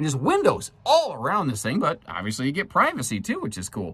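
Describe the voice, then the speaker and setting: Speaking at a fairly quick pace, a man with a medium pitch swings his pitch very widely. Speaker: RV dealer presenter. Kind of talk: product walkthrough tour. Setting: inside small camper trailer. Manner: casual, halting with fillers.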